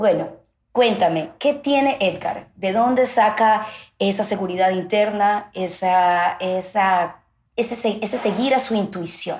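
A woman with a coastal Ecuadorian accent talks at a very slow pace, with a medium pitch and ordinary pitch variation. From Ecuador, Guayaquil. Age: 40s. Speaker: podcast host, journalist. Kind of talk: interview.

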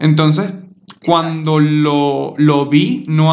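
There's audible room echo around a man whose voice sits at a fairly high pitch. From Venezuela (Maturín). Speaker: podcast host. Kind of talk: casual chat.

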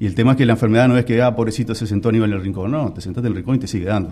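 A man talks very fast with hardly any pauses. His medium-pitched voice has a dark, mellow tone and ordinary pitch variation. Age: 40s. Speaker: Parkinson's patient and association founder. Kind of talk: radio interview.

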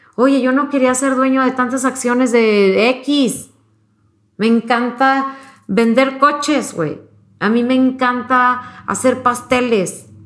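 Amid audible room echo, a woman speaks at a very slow pace in a high voice with fairly even intonation. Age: 40s. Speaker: mother and interview guest. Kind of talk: casual chat.

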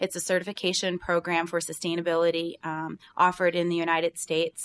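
A woman speaks at a moderate pace in a fairly low pitch, on a very clean recording with a silent background. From rural Pennsylvania, Bradford County. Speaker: business owner, seafood entrepreneur. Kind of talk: interview.

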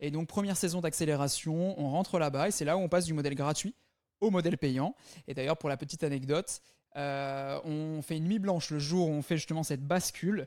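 Fairly high in pitch, a man speaks in a plain, everyday voice. His pace is fairly quick. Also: ordinary pitch variation. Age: 20s. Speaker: startup founder. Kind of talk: interview. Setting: remote interview.

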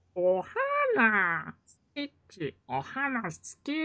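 A put-on character voice, high-pitched and squeaky, at a fairly slow pace

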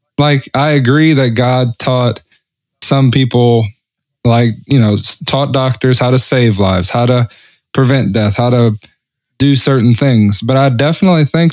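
Against a quiet background, a man talks at a moderate pace with medium pitch and ordinary pitch variation. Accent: Southern US. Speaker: podcast co-host. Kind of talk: casual chat.

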